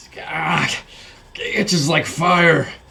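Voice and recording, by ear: A man's put-on character voice, raspy and high-pitched, with monotone, flat intonation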